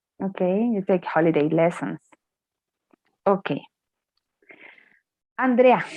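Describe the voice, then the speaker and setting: A woman with a Spanish accent and medium pitch speaks fairly slowly with lively intonation and long, frequent pauses, in a dry, close sound with no echo. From Colombia. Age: 20s. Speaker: English teacher. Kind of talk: online class.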